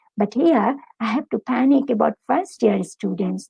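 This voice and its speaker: Vocal fry runs through this voice with a Bengali accent. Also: woman. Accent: Bengali accent in English, noticeable. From Bangladesh. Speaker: academic, university lecturer. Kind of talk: interview.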